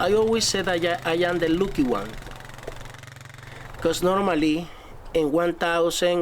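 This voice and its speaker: A man speaks at a fairly slow pace and a high pitch, with ordinary pitch variation. Noticeable background noise runs under his voice. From Colombia. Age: 50s. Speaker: wheelchair user and outdoor YouTuber. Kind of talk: documentary interview.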